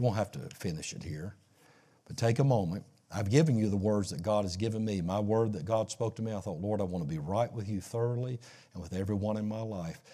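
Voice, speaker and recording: In a very clean recording with a silent background, a man with a dark, mellow tone and fairly low pitch speaks very fast with ordinary pitch variation. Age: 60s. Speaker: pastor. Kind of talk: sermon.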